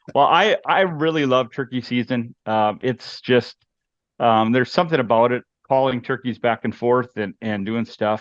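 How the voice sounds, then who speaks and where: A man speaks with a Minnesotan accent at a medium pitch, with ordinary pitch variation and a moderate pace. The sound is dry and close with no echo, over a quiet background. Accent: Minnesota. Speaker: hunting guide and outdoor product developer. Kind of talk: casual interview chat.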